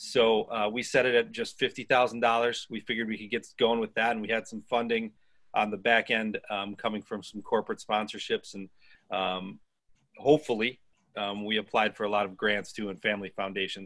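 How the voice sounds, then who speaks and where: Here a man talks at a fairly quick pace and medium pitch. His intonation is monotone and flat. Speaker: news publisher, nonprofit co-founder. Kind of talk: panel presentation. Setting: video call. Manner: hesitant, many fillers.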